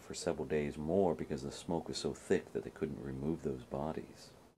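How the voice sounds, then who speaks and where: Over light background noise, a man's very deep, low voice carries a dark, mellow tone and vocal fry. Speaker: storyteller. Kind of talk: spooky storytelling narration. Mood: hushed, eerie storytelling. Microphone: phone near.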